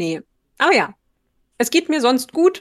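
A woman speaks at a fairly slow pace. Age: 30s. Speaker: podcast co-host. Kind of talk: casual chat. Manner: laughs often.

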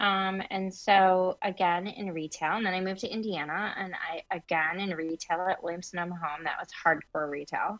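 A woman with an American accent uses an ordinary speaking voice at a medium pitch, with fairly even intonation, a moderate pace and hardly any pauses. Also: quiet background. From Michigan, US Midwest. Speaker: interior designer and business owner. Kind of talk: interview.

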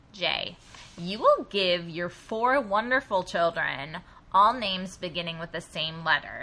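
A woman's bright, sharp voice sits at medium pitch with ordinary pitch variation. Her loudness swings widely. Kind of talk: casual comedic chat.

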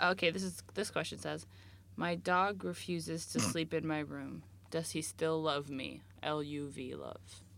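Speaking fairly slowly with vocal fry, a woman uses a very deep, low pitch that swings very widely. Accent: American. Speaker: podcast host. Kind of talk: casual chat.

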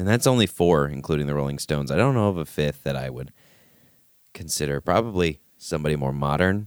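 A man talks at a very fast pace in a very deep, low pitch. His pitch variation is ordinary, and the sound is dry and close with no echo. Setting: studio.

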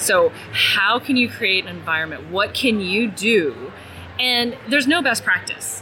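A woman's fairly high voice with lively intonation and very even loudness, at a fairly slow pace over noticeable background noise. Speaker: talent acquisition strategist. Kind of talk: interview. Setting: conference.

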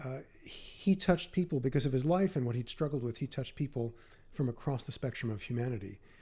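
At a very fast pace, a man with an American accent speaks at medium pitch in a somewhat breathy, dark, mellow voice with ordinary pitch variation. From New York City, Queens. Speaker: author and podcast host. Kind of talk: interview.

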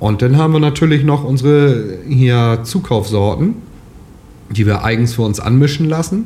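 The voice moves at a moderate pace with lively intonation and very even loudness, over audible room echo and noticeable background noise. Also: man, medium pitch for a man. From northern Lower Saxony, Germany. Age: 30s. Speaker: farmer. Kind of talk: interview.

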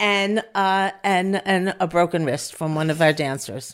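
A woman with a New York accent speaks fairly slowly in a very clean recording with a silent background. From US Northeast, Long Island Five Towns. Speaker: community organizer and educator. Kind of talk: casual interview.

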